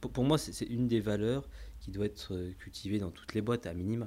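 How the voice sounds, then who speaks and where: A man talks at a moderate pace, very deep and low, with vocal fry and a dark, mellow tone. The recording is very clean, with a silent background. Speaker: company CEO and cofounder. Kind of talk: casual interview.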